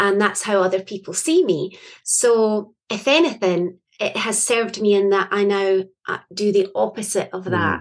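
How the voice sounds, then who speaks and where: A woman with a Scottish accent, medium in pitch, at a moderate pace with ordinary pitch variation. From Scotland. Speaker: poet and author. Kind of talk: interview conversation.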